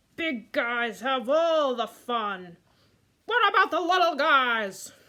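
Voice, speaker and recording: A woman uses a cartoonish character voice with a high pitch, talking at a fairly slow pace. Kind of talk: puppet story reading.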